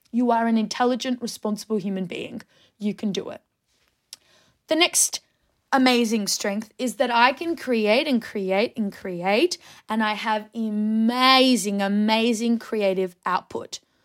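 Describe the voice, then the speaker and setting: A woman with an Australian accent speaks at a fairly slow pace and a fairly high pitch on a very clean recording with a silent background. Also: ordinary pitch variation. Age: 20s. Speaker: podcast host. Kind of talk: casual monologue.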